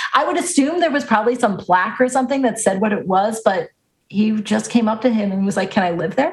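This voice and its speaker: Speaking very fast with an American accent, a woman uses a fairly high, somewhat breathy voice and lively intonation. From US Northeast, Long Island. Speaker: baseball podcast co-host. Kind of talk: casual chat.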